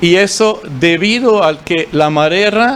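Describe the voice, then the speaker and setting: With a German accent, a man speaks using ordinary pitch variation. Noticeable background noise runs behind him. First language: German (speaking Spanish). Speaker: forestry official. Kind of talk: conference talk. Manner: halting, many fillers.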